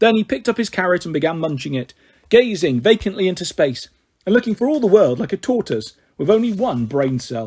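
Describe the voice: Speaking at a fairly quick pace, a man uses a high pitch with big pitch swings, a slightly mellow tone and a slightly husky edge.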